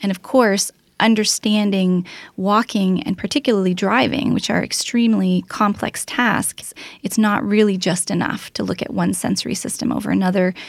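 With a Canadian accent, a woman speaks at a moderate pace and medium pitch in an unremarkable speaking voice, her intonation fairly even. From Ontario, Canada (Oakville). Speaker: research scientist. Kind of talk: interview.

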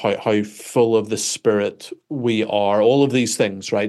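With a Northern Irish accent, a man speaks at a moderate pace and a fairly low pitch, his intonation fairly even, against a quiet background. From Northern Ireland. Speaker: pastor. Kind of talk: interview.

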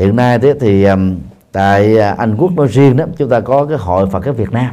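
A man is speaking. His tone is dark and mellow. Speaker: Buddhist monk and dharma teacher. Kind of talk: dharma talk answering audience questions. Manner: halting with frequent fillers.

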